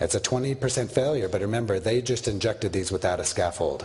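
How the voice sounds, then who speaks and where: This man talks at a very fast pace in a medium pitch. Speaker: orthopedic surgeon lecturer. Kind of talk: lecture.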